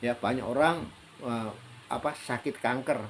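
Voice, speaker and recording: This is a man with a medium pitch. His pitch moves in an ordinary way. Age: 60s. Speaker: health practitioner sharing life advice. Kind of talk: solo talk / monologue. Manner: hesitant, many fillers.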